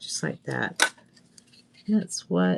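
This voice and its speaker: The speaker is a woman with an American accent. She talks very slowly. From US South, Northwest Florida. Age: 60s. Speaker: craft video host. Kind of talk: craft tutorial livestream. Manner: casual, chatty.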